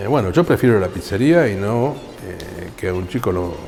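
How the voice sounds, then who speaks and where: A man's fairly low voice amid audible room echo and noticeable background noise. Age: 60s. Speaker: computer science professor and researcher. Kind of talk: interview. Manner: hesitant, with fillers.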